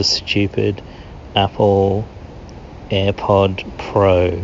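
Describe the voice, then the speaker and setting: Over noticeable background noise, someone with an Australian accent speaks with monotone, flat intonation and long, frequent pauses. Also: man. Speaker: listener calling in. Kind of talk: voicemail message. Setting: recorded voicemail.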